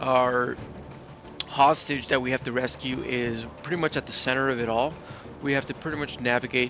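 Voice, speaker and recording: Here is a man with an ordinary speaking voice at medium pitch. His intonation is fairly even and his pace moderate. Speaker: gaming video creator. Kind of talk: gameplay commentary. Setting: at home.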